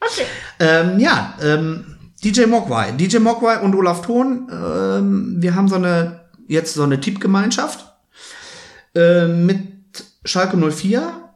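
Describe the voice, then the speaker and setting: Audible room echo surrounds a man with a high pitch and ordinary pitch variation. He talks at a very slow pace with long, frequent pauses and very even loudness. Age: 40s. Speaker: football fan podcast host. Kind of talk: casual chat.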